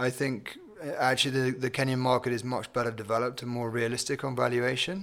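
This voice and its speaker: With a British accent, a man talks at a very fast pace and a medium pitch. His intonation is fairly even, over noticeable background noise. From England. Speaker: company CEO. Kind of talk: interview.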